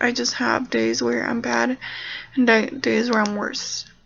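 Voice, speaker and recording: A woman speaks quietly at a moderate pace. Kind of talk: personal video diary. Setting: at home, parents nearby. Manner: quiet, hushed.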